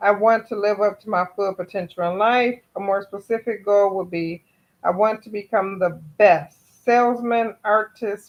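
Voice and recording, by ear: Speaking at a fairly slow pace, a woman keeps a medium pitch and fairly even intonation.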